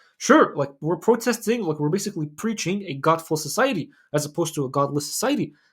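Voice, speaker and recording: A man's high-pitched voice with a non-native accent, a very fast pace and lively intonation. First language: not English. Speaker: Islamic lifestyle YouTuber. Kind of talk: casual commentary monologue. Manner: casual, filler-heavy.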